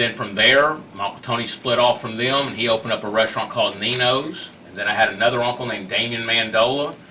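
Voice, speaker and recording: A man with a Texan accent at a very fast pace, big swings in loudness, and noticeable background noise. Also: medium pitch for a man, hardly any pauses. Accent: Texan American. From Houston, Texas. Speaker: restaurateur. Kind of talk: interview storytelling. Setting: studio. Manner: animated.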